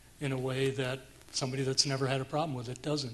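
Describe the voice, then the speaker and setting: This is a man's voice. His pitch is fairly high and his intonation fairly even. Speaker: trauma survivor panelist. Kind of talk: panel testimony. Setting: conference stage with audience. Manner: loud.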